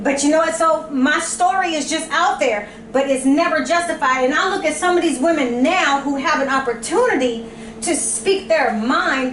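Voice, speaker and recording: Amid noticeable background noise and audible room echo, a woman speaks at a high pitch and moderate pace in an animated tone with ordinary pitch variation. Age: 40s. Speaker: podcast host. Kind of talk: casual chat. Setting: brunch with friends.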